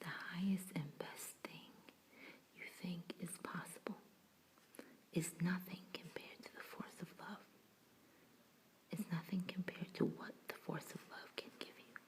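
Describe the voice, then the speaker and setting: A whispered voice at a fairly slow pace. Long pauses come often. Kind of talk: ASMR relaxation reading of affirmations. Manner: soft-spoken and whispered, calming.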